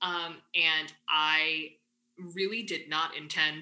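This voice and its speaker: A woman with a Midwestern accent speaks in a bright, sharp tone with fairly even intonation. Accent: US Midwest English. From Michigan, US Midwest (Ann Arbor). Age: 20s. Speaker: graduate student. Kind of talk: interview.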